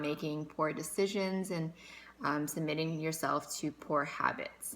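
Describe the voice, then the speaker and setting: This woman's fairly low voice keeps a fairly even intonation. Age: 20s. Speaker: fitness vlogger. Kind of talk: casual vlog talk. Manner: halting, many fillers.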